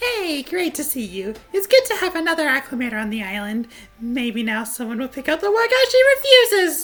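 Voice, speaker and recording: A female-sounding put-on character voice, high in pitch with very wide pitch swings, moves at a fairly quick pace over faint music in the background. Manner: brisk, sharp-tongued.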